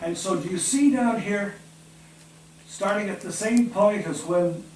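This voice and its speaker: A man speaks at a fairly slow pace with a high pitch. Noticeable background noise and audible room echo surround him. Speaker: Bible teacher. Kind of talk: Bible study class with discussion.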